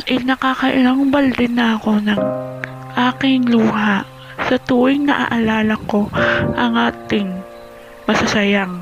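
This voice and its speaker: A woman talks at a very slow pace. Music plays in the background. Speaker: vlogger. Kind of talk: spoken word poetry performance. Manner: emotional, pleading.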